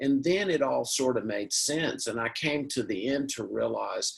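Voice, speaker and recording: Moderately paced male speech in a Southern US accent. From US South, Mississippi. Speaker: panelist, addiction recovery. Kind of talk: panel discussion. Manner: halting.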